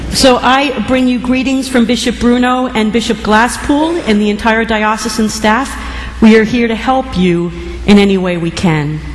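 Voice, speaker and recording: A woman with an American accent talks at a moderate pace and fairly high pitch with ordinary pitch variation and hardly any pauses, amid noticeable background noise and audible room echo. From New Jersey. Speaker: bishop. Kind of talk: sermon.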